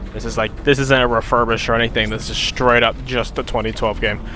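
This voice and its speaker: At a fairly quick pace, a man speaks. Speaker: gaming streamer. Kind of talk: gameplay commentary. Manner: fast.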